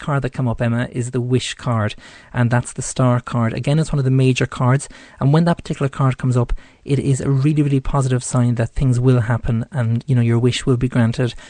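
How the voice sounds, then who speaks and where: In an Irish accent, a man speaks at a fairly quick pace, with a dry, close sound with no echo. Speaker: psychic radio host. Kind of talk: tarot reading on live radio. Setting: studio. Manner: hesitant, many fillers.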